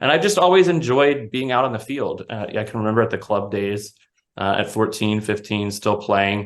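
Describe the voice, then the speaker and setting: Here is a man with an ordinary speaking voice at medium pitch, with ordinary pitch variation and a fairly quick pace. The background is quiet. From Florida, US South. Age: 30s. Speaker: soccer referee. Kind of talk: interview.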